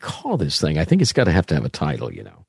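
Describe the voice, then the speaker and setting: This is a man with a Midwestern American accent. The sound is dry and close with no echo, over a quiet background. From US Midwest, southern Indiana. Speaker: pastor. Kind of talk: casual chat. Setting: video call.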